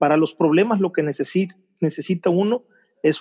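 A man speaks in a high voice. The sound is dry and close, with no echo. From Mexico, Veracruz. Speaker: TV journalist. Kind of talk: casual interview.

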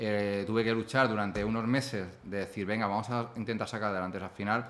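A man talks at a very fast pace. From Spain, Ciudad Real. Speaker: entrepreneur and author. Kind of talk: casual interview. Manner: halting, repeats words.

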